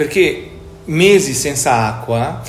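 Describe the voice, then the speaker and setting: A man speaks with a Portuguese accent. Noticeable background noise and audible room echo fill the recording. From Portugal, Lisbon. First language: Portuguese (speaking Italian). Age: 50s. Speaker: company executive. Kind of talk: interview.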